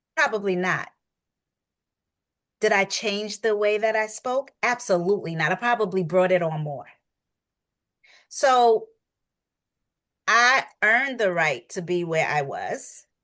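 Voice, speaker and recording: Animated and bright, a woman with a New York accent talks at medium pitch in a sharp tone, her intonation lively and her fairly slow pace broken by long, frequent pauses. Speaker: coach. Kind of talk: podcast interview.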